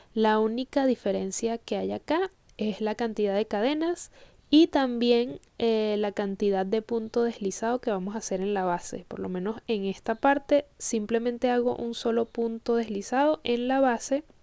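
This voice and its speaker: The tone is dark and mellow, with ordinary pitch variation and a moderate pace, captured in a very clean recording against a silent background. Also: woman, fairly high pitch for a woman. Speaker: crochet instructor. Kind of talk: tutorial. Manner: halting.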